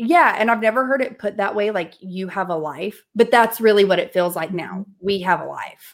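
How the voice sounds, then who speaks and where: A woman talks in a Southern US accent at a moderate pace with hardly any pauses. Her medium pitch shows ordinary variation. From US South. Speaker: entrepreneur and coach. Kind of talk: casual interview chat. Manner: animated.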